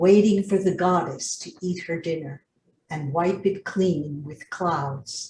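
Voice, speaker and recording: A woman with a fairly low pitch speaks very slowly in a dark, mellow, somewhat breathy tone. Her pitch varies in an ordinary way. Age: 80s+. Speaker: poet. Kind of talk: poetry reading.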